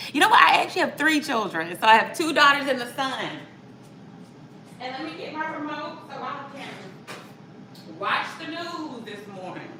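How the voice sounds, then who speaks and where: A woman's raised, projected voice at a high pitch, upbeat in tone and moderate in pace, with very wide pitch swings, big swings in loudness, audible room echo and noticeable background noise. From US South, Atlanta. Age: 30s. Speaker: mom vlogger. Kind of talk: live cooking vlog, casual chat. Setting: home kitchen, livestream. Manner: chatty, upbeat.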